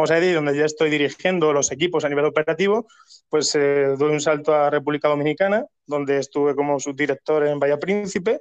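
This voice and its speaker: A man speaks in a normal speaking voice at a fairly quick pace. His pitch is fairly high and his intonation fairly even. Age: 30s. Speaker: hotel operations manager. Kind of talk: interview.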